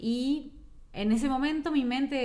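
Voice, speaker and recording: A woman's voice comes with audible room echo. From Uruguay. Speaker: migrant interviewee. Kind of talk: casual chat.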